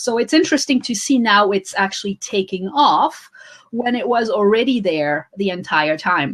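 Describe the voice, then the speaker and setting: There is a woman speaking with a French accent. Her pitch makes very wide swings. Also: fairly high pitch for a woman, moderate pace. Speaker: author and social media coach. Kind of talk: interview.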